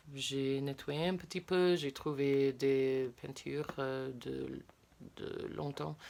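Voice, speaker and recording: A woman with a very deep, low voice speaks very slowly with fairly even intonation. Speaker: spiritual content creator. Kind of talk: casual vlog talk. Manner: halting, many hesitations.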